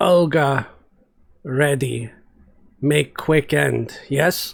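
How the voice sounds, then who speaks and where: In a put-on character voice, a man rumbles along at a very slow pace, his pitch fairly high. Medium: read story. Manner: broken speech, refers to herself in third person.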